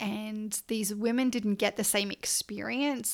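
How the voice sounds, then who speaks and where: Speaking with an Australian accent at a fairly slow pace, a woman with a fairly high pitch keeps her intonation fairly even on a very clean recording with a silent background. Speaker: podcast host, coach. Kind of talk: casual monologue.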